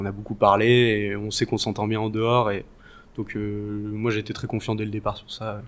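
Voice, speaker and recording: The man's fairly low voice is monotone, with flat intonation, and he keeps a moderate pace. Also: very clean recording, silent background. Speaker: videographer. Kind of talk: interview.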